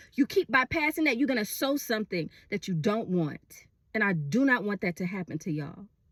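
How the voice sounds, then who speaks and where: In an American accent, a woman talks at a fairly quick pace with an animated tone and very wide pitch swings, recorded very cleanly with a silent background and a dry, close sound without echo. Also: fairly high pitch for a woman. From Texas, Houston. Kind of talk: casual social media monologue. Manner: casual.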